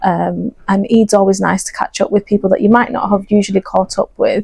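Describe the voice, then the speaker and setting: A woman speaks at a moderate pace with a Lancashire accent. The sound is dry and close, with no echo. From northern England, Bolton. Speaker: optometrist and charity project lead. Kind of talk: interview. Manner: hesitant, many fillers.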